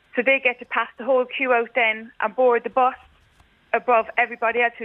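Monotone, flat intonation from a woman at a moderate pace. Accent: Irish. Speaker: caller. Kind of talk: casual chat. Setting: phone call.

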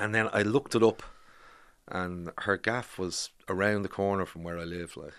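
With a Dublin accent, the speaker keeps a moderate pace and fairly even intonation while the loudness swings widely, over a quiet background. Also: man, fairly low pitch for a man. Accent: Irish, Dublin area. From Ireland, Bray, County Wicklow. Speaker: documentary filmmaker. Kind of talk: interview.

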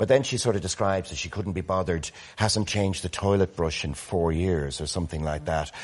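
A man with an Irish accent talks at a very fast pace. His pitch is very deep and low, with ordinary variation. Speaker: motoring organisation CEO, panellist. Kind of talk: casual chat. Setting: studio.

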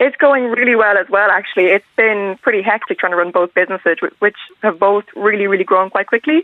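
With a western Irish accent, a woman talks at a very fast pace with hardly any pauses. Her medium pitch shows ordinary variation, and her loudness stays very even. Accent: Irish (west of Ireland). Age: young. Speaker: young entrepreneur. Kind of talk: radio interview.

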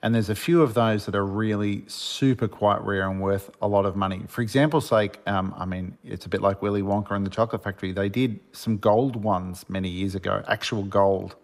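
A man with an Australian accent speaks in a fairly low voice at a fairly quick pace. His intonation is fairly even, with hardly any pauses. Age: 50s. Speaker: Lego builder and author. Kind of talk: radio interview.

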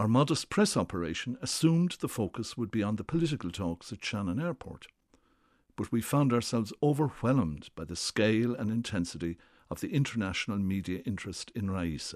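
Over a quiet background, a man with an Irish accent talks at a fairly quick pace in a fairly low pitch with very wide pitch swings. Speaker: former government official. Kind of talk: scripted narration.

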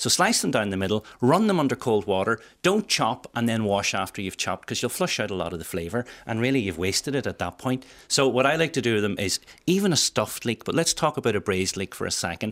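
With an Irish accent and lively intonation, a man speaks at medium pitch and a very fast pace on a very clean recording with a silent background. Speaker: chef. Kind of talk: cooking tips on radio. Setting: radio studio. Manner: animated.

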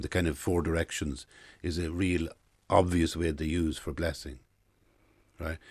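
Against a quiet background, a man with an Irish accent talks at a moderate pace in a very deep, low pitch. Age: 60s. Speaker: writer and playwright. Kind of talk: interview.

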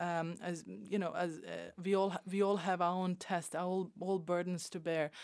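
A woman speaks at a medium pitch and a fairly slow pace. Her intonation is fairly even. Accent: Bosnian. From former Yugoslavia, Bosnia. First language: Bosnian. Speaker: regular contributor. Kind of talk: panel discussion. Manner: halting.

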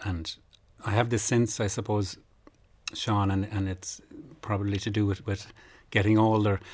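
A man with a Kerry accent speaks at a moderate pace in a somewhat breathy, flat monotone, with long, frequent pauses. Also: fairly low pitch for a man. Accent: Kerry Irish. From Ireland, North Kerry. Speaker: traditional accordion player. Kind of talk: radio interview. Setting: studio.

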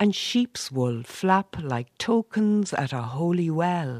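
A woman with an Irish Midlands accent speaks at a very slow pace and a fairly low pitch with very wide pitch swings, on a very clean recording with a silent background and a dry, close sound with no echo. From Ireland, County Roscommon. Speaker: poet. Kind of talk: poetry reading. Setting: community hall.

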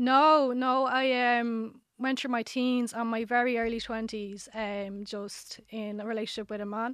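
A woman speaks in an Irish accent at a fairly slow pace, with hardly any pauses. Her intonation is monotone and flat. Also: fairly high pitch for a woman. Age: 30s. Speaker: dating show contestant. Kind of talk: casual chat. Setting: studio.

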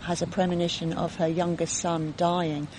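At a moderate pace, a woman with a fairly low pitch speaks over noticeable background noise. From London, England. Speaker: author. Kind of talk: casual interview chat. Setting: outdoors by a lake.

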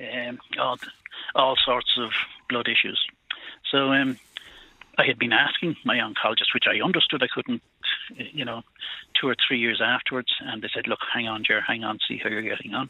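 A man talks in a Cork accent with fairly even intonation. His pace is moderate, broken by long, frequent pauses. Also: medium pitch for a man. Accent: Irish (Cork). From Ireland. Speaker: prostate cancer survivor, farmer. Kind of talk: phone-in call. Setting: phone call.

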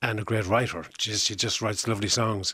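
With an Irish accent, a man talks at a fairly quick pace. His tone is bright and sharp, with monotone, flat intonation. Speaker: musician and songwriter. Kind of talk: interview. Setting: studio.

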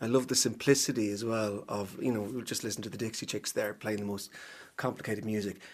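A man with an Ulster accent, fairly low pitch and monotone, flat intonation, at a very fast pace. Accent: Ulster Irish (Cavan). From Ireland, Cavan town. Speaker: actor. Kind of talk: casual chat. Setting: studio.

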